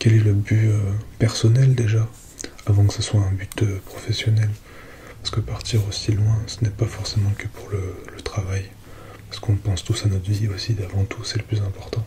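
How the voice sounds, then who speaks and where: Soft-spoken and calm, gentle in tone, a man with fairly low pitch talks in monotone, flat intonation, with long, frequent pauses and noticeable background noise. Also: moderate pace. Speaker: ASMR content creator. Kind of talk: ASMR roleplay as a space-agency psychologist speaking to a patient. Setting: close-mic ASMR recording, relaxation. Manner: soft-spoken, calm, gentle.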